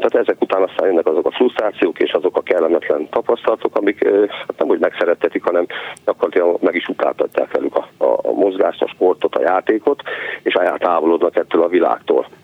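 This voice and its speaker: A man talks at a very fast pace with very even loudness over noticeable background noise. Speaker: PE teacher. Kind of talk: radio interview. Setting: phone call.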